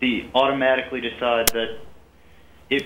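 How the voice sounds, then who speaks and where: A man speaks with fairly even intonation. There is audible room echo. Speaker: caller. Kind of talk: casual chat. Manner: halting.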